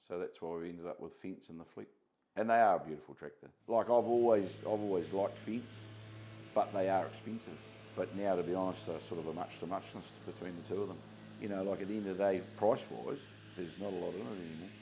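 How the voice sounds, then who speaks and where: In a New Zealand accent, a man with a very deep, low voice and a dark, mellow tone talks very fast, showing vocal fry and ordinary pitch variation. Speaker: contracting business owner. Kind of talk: interview. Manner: halting.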